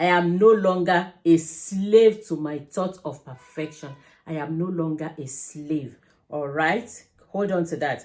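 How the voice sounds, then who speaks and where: A woman speaks fairly slowly in an unremarkable speaking voice, fairly low in pitch with ordinary pitch variation. Her loudness swings widely. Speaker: vlogger. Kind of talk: casual commentary.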